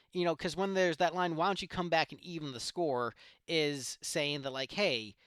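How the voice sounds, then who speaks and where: With a slight Southern US accent, the speaker has a bright, sharp tone, lively intonation and a moderate pace, recorded very cleanly against a silent background with a dry, close sound and no echo. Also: man. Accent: slight southern twang picked up. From Ohio, Cleveland. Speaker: music reaction youtuber. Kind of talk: casual reaction commentary. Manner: hesitant, many fillers.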